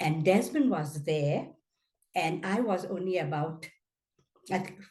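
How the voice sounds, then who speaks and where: Audible room echo surrounds a woman with a dark, mellow, somewhat breathy tone. She speaks at a fairly slow pace with ordinary pitch variation. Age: 80s+. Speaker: anti-apartheid activist. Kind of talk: interview testimony. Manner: halting.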